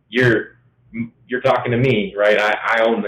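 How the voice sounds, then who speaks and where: A man at a moderate pace and medium pitch. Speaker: company owner. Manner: monotone.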